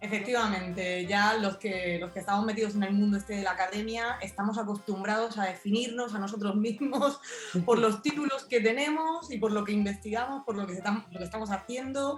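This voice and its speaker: A woman talks at a fairly quick pace with a southern Spanish accent, her pitch fairly high and its variation ordinary. She leaves hardly any pauses, and noticeable background noise runs underneath. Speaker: philosophy researcher. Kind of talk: interview. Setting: radio show.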